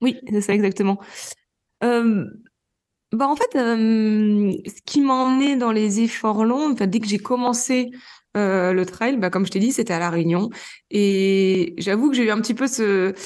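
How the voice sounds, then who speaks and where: Against a quiet background, a woman with a fairly high pitch and ordinary pitch variation talks at a fairly slow pace with long, frequent pauses. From Normandy, France. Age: 30s. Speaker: trail runner and gynecologist. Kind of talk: interview.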